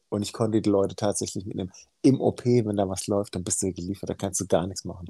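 A man with a fairly low pitch and a dark, mellow tone talks at a very fast pace. His pitch variation is ordinary, and the sound is dry and close with no echo. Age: 40s. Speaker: heart surgeon. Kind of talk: casual interview chat.

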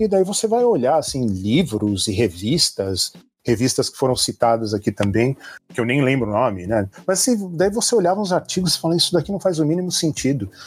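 On a very clean recording with a silent background, a man speaks fairly quickly in a fairly high, somewhat breathy voice with very wide pitch swings. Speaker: hacker, security expert. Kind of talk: casual interview chat.

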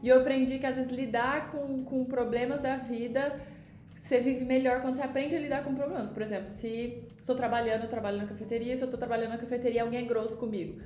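A woman with a high voice talks very fast in fairly even tones, with audible room echo and noticeable background noise. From Brazil, Uberlândia, Minas Gerais. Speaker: former volleyball player turned entrepreneur. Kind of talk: casual interview.

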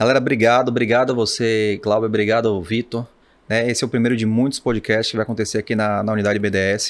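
A man talks at a very fast pace. His medium-pitched voice stays monotone and flat. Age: 40s. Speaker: financial market professional. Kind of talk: casual chat.

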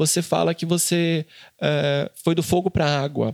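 A man's voice with fairly even intonation, dry and close with no echo. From interior of Brazil. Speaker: journalist and podcast host. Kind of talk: interview.

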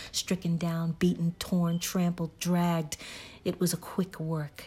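A woman speaks slowly-ish, at a fairly slow pace, with a fairly low pitch and a dark, mellow tone. Her delivery is somewhat breathy and monotone, with flat intonation. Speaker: podcast host reading a novel aloud. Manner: casual chatty intro, then formal period-style delivery.

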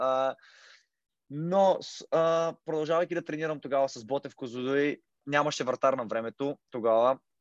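A man with an unremarkable speaking voice talks at a moderate pace, his fairly high pitch showing ordinary variation. The background is quiet, and the sound is dry and close with no echo. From Bulgaria, Kozloduy. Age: 20s. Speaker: football goalkeeper. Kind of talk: interview.

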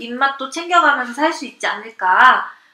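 Noticeable background noise sits behind this woman's voice. She has a high pitch and speaks at a moderate pace. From Seoul, South Korea. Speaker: guest. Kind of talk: casual chat. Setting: live audio chat room with listeners.

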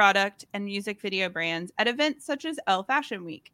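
In an American accent, a woman with a fairly high pitch and a bright, sharp tone talks at a moderate pace, the sound dry and close with no echo. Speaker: podcast co-host. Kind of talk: casual interview chat.

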